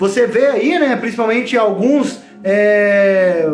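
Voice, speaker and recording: Some room echo can be heard. The man's pitch shifts in an ordinary way. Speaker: online course teacher. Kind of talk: live online class. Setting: livestream from home.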